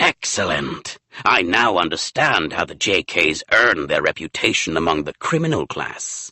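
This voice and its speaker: The man puts on a character voice at a very deep, low pitch. His pace is moderate. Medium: read story.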